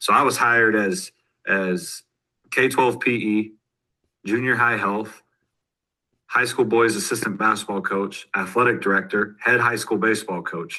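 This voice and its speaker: A man with an American accent speaks at a medium pitch and a moderate pace, his tone bright and sharp. His pitch varies in an ordinary way, and he leaves long, frequent pauses. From US, northeast Oklahoma (Miami, Oklahoma). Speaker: high school football coach. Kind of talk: podcast interview. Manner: casual, with many fillers and repetitions.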